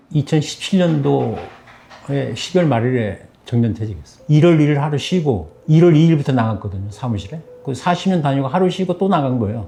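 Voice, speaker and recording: The man's intonation is lively, and noticeable noise can be heard behind him. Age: 60s. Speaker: retired civil servant. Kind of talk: interview.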